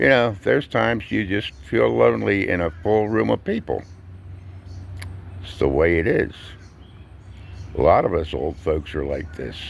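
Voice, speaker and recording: A man with an American accent speaks with vocal fry. His pace is fairly slow and his pitch swings very widely. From US Northeast, Collingswood, New Jersey. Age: 70s. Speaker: vlogger, retired truck driver and veteran. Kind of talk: casual monologue vlog. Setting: outdoors. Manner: conversational with filler pauses.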